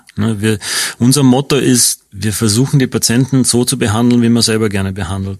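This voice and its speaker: Speaking with a slight Austrian accent, the voice shows ordinary pitch variation. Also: man. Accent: slight Austrian regional colouring. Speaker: radiation oncologist. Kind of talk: radio interview.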